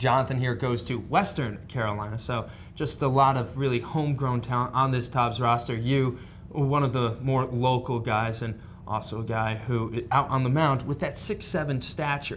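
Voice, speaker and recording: A man talks with a New England accent. Audible room echo surrounds his voice. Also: medium pitch for a man, moderate pace. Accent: Yankee. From northern US. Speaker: sports show host. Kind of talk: sports interview.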